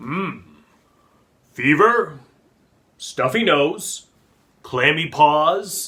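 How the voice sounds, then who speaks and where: Using a put-on character voice, a man speaks at a very slow pace with a high pitch and long, frequent pauses. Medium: read story. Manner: gentle, patient.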